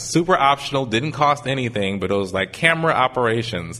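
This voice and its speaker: An unremarkable speaking voice from a man, fairly quick, with ordinary pitch variation. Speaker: audio engineer. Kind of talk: casual conversation on live podcast. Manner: rambling, casual.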